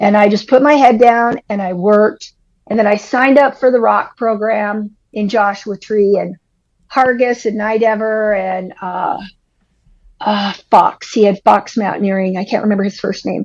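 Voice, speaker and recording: Against a quiet background, a woman with a fairly high pitch uses an ordinary speaking voice, talking at a moderate pace with fairly even intonation. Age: 60s. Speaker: climbing guide. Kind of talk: casual chat.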